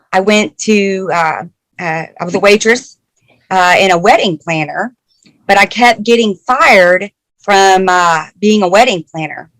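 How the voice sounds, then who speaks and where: Recorded dry and close with no echo, a woman with an American accent speaks at a medium pitch and a fairly slow pace, using ordinary pitch variation. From Arkansas. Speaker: engineering program manager. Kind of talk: talk to a class. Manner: many filler words and hesitations.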